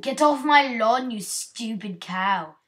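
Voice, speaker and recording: A woman puts on a growling character voice in a British accent, pitched fairly high. She speaks at a fairly slow pace. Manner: scolding, gruff.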